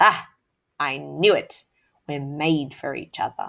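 A woman uses a put-on character voice, very deep and low in pitch, with a growl. She talks at a fairly slow pace. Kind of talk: read-aloud storytelling. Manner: growling.

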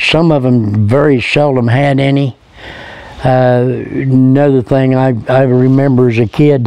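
A medium-pitched man with a Midwestern US accent, monotone, flat intonation and very even loudness, in a dry sound with no echo. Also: fairly slow pace. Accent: rural Midwestern American. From Indiana, Hillsdale; Indiana. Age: 70s. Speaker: retired local recalling childhood. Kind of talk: interview recollection. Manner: halting, with fillers and repeats. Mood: fond, relaxed reminiscing. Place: garden.

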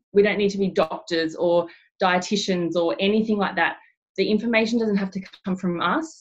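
A woman talks with an Australian accent and ordinary pitch variation. The background is quiet. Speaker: network marketing director. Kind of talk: team training webinar. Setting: video call. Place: home room. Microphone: webcam.

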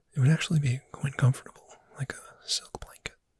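Soft-spoken and gentle in tone, the voice comes through dry with no echo. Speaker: roleplay voice actor. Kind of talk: ASMR roleplay, soft-spoken. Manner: soft-spoken gentle ASMR voice.

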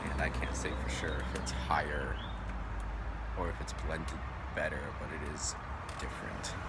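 The voice moves at a moderate pace over loud background noise. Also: man. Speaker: pipe tobacco reviewer. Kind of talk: casual review talk. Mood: relaxed, reflective. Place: street. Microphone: phone near.

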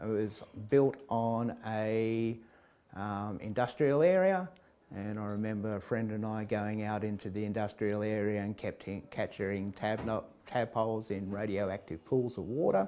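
A man's voice sounds dark and mellow, with fairly low pitch. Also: fairly even intonation, moderate pace. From England, raised in Australia. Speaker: storyteller. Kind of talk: storytelling. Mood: relaxed, amused. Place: hall. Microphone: lapel.

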